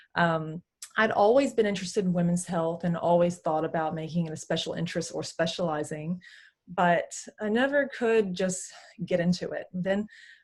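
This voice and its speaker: A woman speaks with an American accent at a fairly low pitch. Her voice is somewhat breathy. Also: ordinary pitch variation, moderate pace. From Texas. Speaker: physiotherapist. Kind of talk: interview chat. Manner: many hesitations (um).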